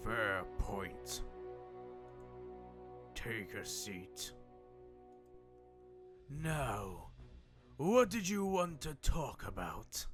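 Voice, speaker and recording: Over clear music, a man in a put-on character voice talks very slowly with long, frequent pauses. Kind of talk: comic dub. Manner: calm, measured.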